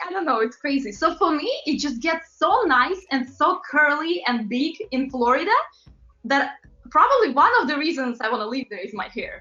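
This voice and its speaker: Over music in the background, a woman speaks at a moderate pace with lively intonation and a high pitch. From Latvia. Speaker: pop singer and model. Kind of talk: interview. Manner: animated.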